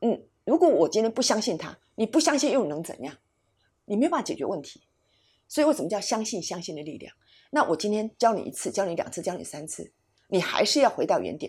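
The voice moves at a fairly quick pace with very wide pitch swings and big swings in loudness, on a very clean recording with a silent background. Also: woman, medium pitch for a woman. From Taiwan. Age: 60s. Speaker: psychologist and educator. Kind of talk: interview conversation.

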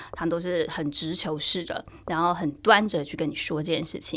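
Female speech on a very clean recording, background silent. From Taiwan. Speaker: journalist and sports blogger. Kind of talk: casual chat.

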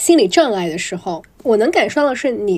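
At a fairly quick pace, a woman with a medium pitch swings very widely in pitch. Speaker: podcast host. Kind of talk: casual interview chat. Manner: mixes English words into Chinese.

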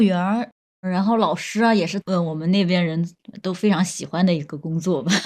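The speaker has a plain, everyday voice. The pace is moderate. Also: woman. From Zhejiang, Huangyan near Taizhou. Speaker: young person living in the countryside. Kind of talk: casual chat.

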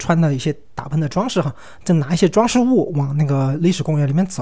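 Fairly high in pitch for a man, his voice has a dark, mellow tone, lively intonation and a fairly quick pace. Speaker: solo podcast host. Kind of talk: casual monologue. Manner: hesitant, many filler sounds.

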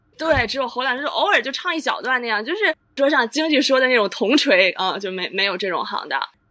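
Raising and projecting her high-pitched voice, a woman talks very fast with hardly any pauses, her pitch swinging very widely. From Chaozhou, Guangdong. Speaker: Chinese opera enthusiast guest. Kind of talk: casual chat.

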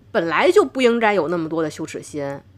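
Speaking in a northern Chinese accent, a woman sounds animated, her pitch swinging very widely. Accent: noticeable northern Chinese. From Tianjin, China. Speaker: doctor and podcast host. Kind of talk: casual interview conversation.

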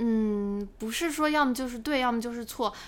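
In a normal speaking voice, a woman talks at a fairly quick pace with a fairly high pitch and ordinary pitch variation. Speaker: finance YouTuber. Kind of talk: casual interview chat.

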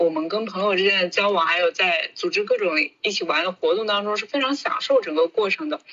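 With noticeable background noise behind her, a woman talks at a fairly quick pace and medium pitch with lively intonation. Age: 30s. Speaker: media worker. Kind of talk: casual chat.

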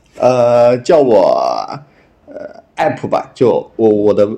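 Very slow speech from a man at medium pitch. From Henan, China. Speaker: podcast guest sharing a story. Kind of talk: casual storytelling chat. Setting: remote call. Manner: halting, many fillers.

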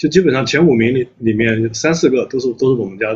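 Very fast and somewhat breathy, a man speaks at medium pitch with ordinary pitch variation. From Anhui, China. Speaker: company CEO. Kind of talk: casual chat.

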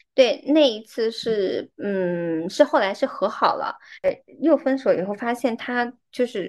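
This woman has a normal speaking voice with a fairly high pitch. Her intonation is lively and her pace fairly slow. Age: 30s. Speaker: podcast host. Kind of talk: casual chat.

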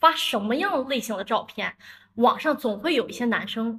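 A woman speaks in a high pitch. Her tone is bright and sharp. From northern China, Dalian. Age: 30s. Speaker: marketing entrepreneur. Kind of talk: casual chat.

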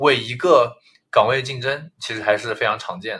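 The man's voice has a bright, sharp tone at a medium pitch. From Jiangsu, Nanjing; schooled in US. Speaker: entrepreneur, podcast co-host. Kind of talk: casual chat.

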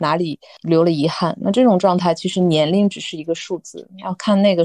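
A woman's fairly low, dark and mellow voice at a moderate pace, with fairly even intonation, a dry, close sound with no echo and a quiet background. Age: 30s. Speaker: office worker. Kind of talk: casual chat.

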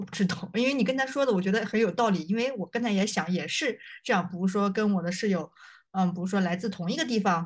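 Against a quiet background, a woman speaks at medium pitch. Her voice is somewhat breathy. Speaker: podcast host. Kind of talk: casual chat. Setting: video call.

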